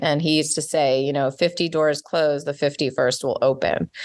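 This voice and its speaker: A woman speaks at a moderate pace with a slight Canadian accent. Her pitch is very deep and low. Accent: slight Canadian on certain words. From Montreal, Quebec, Canada. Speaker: life coach and entrepreneur. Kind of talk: interview conversation.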